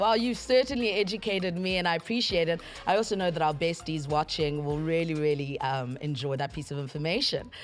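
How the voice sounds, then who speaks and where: Over music in the background, a woman talks at a fairly quick pace in a fairly low voice, her tone upbeat and her intonation lively, with hardly any pauses. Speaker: TV show host. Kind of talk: TV talk show host.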